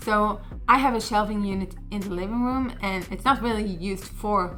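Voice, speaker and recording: A woman speaks at a medium pitch with fairly even intonation. Music plays in the background. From Israel. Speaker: YouTuber sharing personal rental stories. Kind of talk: casual talk to camera, personal storytelling. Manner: conversational, casual.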